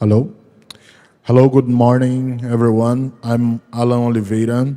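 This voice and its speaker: This man has a medium pitch, a dark, mellow tone and a Portuguese accent. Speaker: research organization executive. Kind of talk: panel discussion. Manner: halting.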